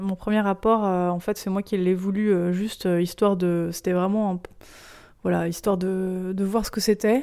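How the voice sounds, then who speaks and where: A woman with a dark, mellow tone and medium pitch speaks at a moderate pace in a flat monotone, in a very clean recording with a silent background. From provincial France. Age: 30s. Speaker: interviewee sharing her intimate life. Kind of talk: personal testimony in an interview. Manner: hesitant, frequent fillers.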